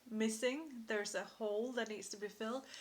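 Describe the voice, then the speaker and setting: A woman speaks at a moderate pace with a fairly high pitch and a non-native accent. Her intonation is monotone and flat. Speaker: intuitive card reader. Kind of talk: tarot-style card reading monologue. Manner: halting, with frequent fillers.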